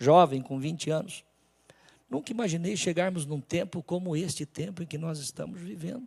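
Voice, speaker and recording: This man has a normal speaking voice, fairly high in pitch, with ordinary pitch variation and a moderate pace. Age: 60s. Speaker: pastor. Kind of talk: sermon.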